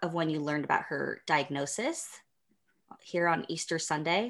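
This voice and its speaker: A woman at a moderate pace and fairly low pitch, with a plain, everyday voice. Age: 40s. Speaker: podcast co-host. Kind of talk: casual interview.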